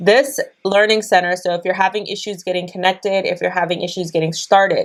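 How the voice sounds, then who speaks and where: A woman with a medium pitch races along at a very fast pace, her intonation fairly even. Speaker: day trader and trading educator. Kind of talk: screen-share tutorial.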